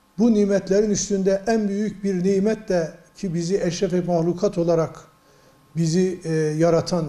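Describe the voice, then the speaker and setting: There is noticeable background noise as a man speaks. His voice is high and his pace fairly slow. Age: 60s. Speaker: provincial mufti, religious official. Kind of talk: religious advice talk to news camera. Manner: measured, preacher-like with hesitations.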